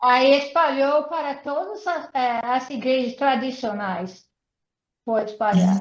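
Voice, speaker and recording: In an English accent, a woman speaks very slowly at a high pitch with lively intonation. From United States. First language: English (speaking Portuguese). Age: 80s+. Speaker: missionary speaker. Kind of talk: online interview. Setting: video call.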